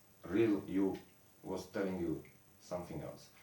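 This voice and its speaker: Audible room echo surrounds a man speaking in a fairly low pitch. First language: not English. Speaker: esoteric lecturer. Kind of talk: lecture. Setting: improvised home studio in the mountains. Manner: halting.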